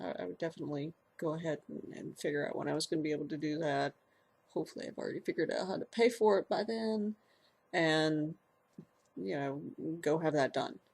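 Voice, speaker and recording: A woman's very deep, low voice with vocal fry and lively intonation, fairly quick in pace yet broken by long, frequent pauses. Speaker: transgender video blogger. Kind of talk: casual personal vlog. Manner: halting, many repeated words and fillers.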